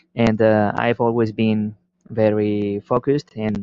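A man speaks with a fairly low pitch. His intonation stays monotone and flat. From Spain. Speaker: listener sending a question. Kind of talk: recorded voice message. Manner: halting with many fillers.

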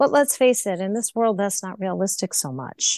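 A woman's plain, everyday voice with lively intonation and a dry, close sound with no echo. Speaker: kundalini yoga instructor and sound healer. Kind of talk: guided meditation.

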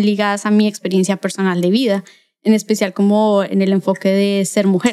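At a moderate pace, a woman with a Bogotá accent speaks in a dark, mellow tone. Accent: Colombian, Bogotá. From Bogotá, Colombia. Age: 20s. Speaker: graphic designer and illustrator. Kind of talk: casual chat.

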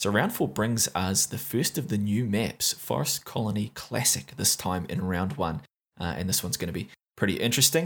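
The voice has vocal fry, very wide pitch swings and a New Zealand accent at a moderate pace. The recording is very clean, with a silent background. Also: man, fairly low pitch for a man. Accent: New Zealand (Kiwi). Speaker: esports commentator and tournament recap host. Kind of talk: recap commentary, monologue. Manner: fluent, informal, with frequent filler 'uh'.

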